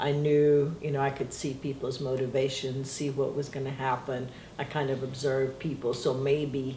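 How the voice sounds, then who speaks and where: With noticeable background noise around it, the talking moves at a moderate pace. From Brazil, adopted to US at seven. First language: Portuguese. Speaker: interviewee. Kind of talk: family history interview.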